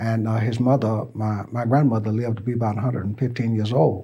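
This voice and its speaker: A man speaks at a moderate pace with a dark, mellow tone and a somewhat breathy quality. The recording is very clean, with a silent background. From US South, Birmingham, Alabama. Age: 70s. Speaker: oral history interviewee. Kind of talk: oral history interview. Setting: interview at a college. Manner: halting, with repeated words.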